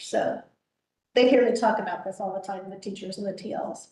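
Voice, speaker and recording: A woman with a fairly high voice speaks fairly quickly in a monotone, flat way. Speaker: children's librarian. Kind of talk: informal presentation at a public meeting. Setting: board meeting, livestreamed. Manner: fast; loud and vivacious.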